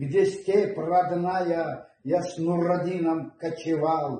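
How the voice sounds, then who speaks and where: Speaking at a very slow pace, a man uses a fairly high pitch with a dark, mellow tone. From Nogai people, North Caucasus steppe. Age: old. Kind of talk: poetry reading.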